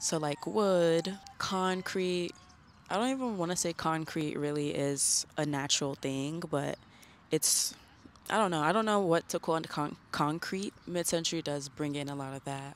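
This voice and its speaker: A woman with an ordinary speaking voice speaks at a fairly slow pace, fairly low in pitch. Her pitch varies in an ordinary way, on a very clean recording with a silent background. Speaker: lifestyle vlogger. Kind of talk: casual vlog monologue. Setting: outdoors in a garden; indoors in a library. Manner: casual, relaxed.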